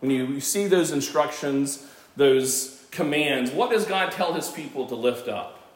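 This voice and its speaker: Noticeable background noise under a man's fairly high voice, ordinary in its pitch variation and fairly slow in pace. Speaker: pastor. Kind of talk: sermon. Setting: church. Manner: loud.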